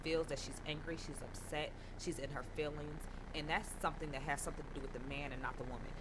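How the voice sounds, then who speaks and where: Talking at a very fast pace, a woman with a very deep, low voice is heard amid audible room echo and noticeable background noise. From northern US. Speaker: radio co-host. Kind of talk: casual chat. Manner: animated.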